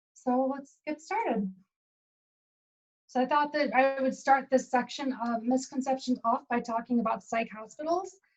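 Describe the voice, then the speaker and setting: Her pitch is high. The woman keeps her intonation fairly even. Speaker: mental health workshop presenter. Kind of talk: online workshop presentation. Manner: fast.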